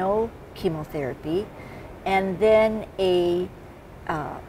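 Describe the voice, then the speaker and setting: Noticeable background noise runs behind a woman speaking at a fairly slow pace with ordinary pitch variation. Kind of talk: interview answer. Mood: calm, explanatory.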